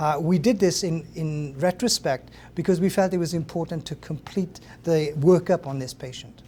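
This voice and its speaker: This man speaks at a moderate pace in a fairly high pitch, his tone dark and mellow. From Wales. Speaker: professor. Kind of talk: lecture. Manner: halting.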